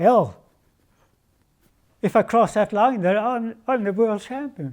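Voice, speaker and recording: A man speaks at a very slow pace with a Swedish accent. His voice sits high in pitch. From Sweden. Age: 80s+. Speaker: retired speedway world champion. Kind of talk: interview answer.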